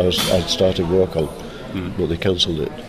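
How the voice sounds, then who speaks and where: A man's very deep, low voice at a moderate pace, with audible room echo and noticeable background noise. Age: 70s. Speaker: comic artist. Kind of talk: interview. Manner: halting.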